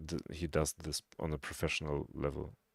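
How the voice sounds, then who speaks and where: Fairly slow speech in a non-native accent, with a dry, close sound and no echo. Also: man. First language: not English. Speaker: game coach. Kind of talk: casual chat.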